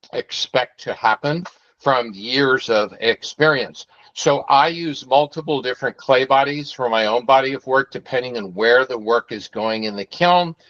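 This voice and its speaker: A man talks at a moderate pace in a medium pitch with ordinary pitch variation, an ordinary speaking voice. The sound is dry and close, with no echo. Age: 60s. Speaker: pottery studio owner. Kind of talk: info session presentation. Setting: video call.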